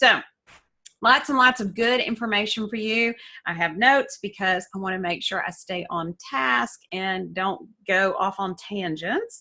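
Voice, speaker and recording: Bright and sharp in tone, a woman with a Southern US accent talks at a fairly slow pace in a medium pitch, with lively intonation. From US South (Alabama, Georgia). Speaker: essential oils educator, coach. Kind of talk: online class. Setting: Zoom class.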